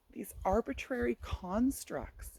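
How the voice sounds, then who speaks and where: The voice has a dark, mellow tone with vocal fry. The sound is dry and close, with no echo. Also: woman. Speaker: performance poet; literacy tutor for kids. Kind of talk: casual talk to camera. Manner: halting, less fluent speech.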